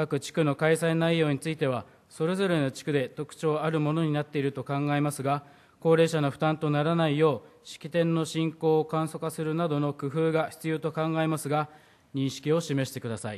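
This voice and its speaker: This man's fairly high voice moves at a moderate pace with monotone, flat intonation. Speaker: city council member. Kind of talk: formal council question. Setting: council chamber podium. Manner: formal. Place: hall. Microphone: podium.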